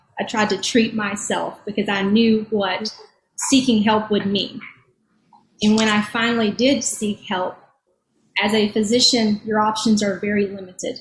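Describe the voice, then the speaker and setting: A woman speaks at a moderate pace in a fairly high, somewhat breathy voice with monotone, flat intonation, broken up by long, frequent pauses. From rural Eastern Kentucky. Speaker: physician and addiction policy advocate. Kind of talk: panel discussion, personal testimony. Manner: halting, with repetitions.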